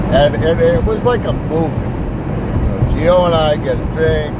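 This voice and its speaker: An animated tone at a fairly slow pace, over noticeable background noise. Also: man. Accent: American. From Massachusetts, Winthrop near Boston. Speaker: entrepreneur vlogger. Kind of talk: casual monologue vlog. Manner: loud.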